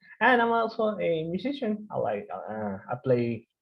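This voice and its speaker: A man talks with a strong Mexican accent in a somewhat breathy voice. His pitch swings very widely. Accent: heavy Mexican Spanish. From Mexico. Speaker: developer course instructor. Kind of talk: online course lecture. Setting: video call. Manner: hesitant, many fillers; deliberately slow.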